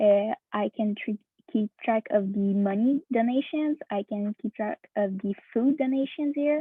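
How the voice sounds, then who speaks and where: At a fairly slow pace, a woman with a non-native accent talks at a fairly high pitch. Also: ordinary pitch variation. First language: not English. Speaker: hackathon participant. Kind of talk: software demo presentation. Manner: halting, many fillers.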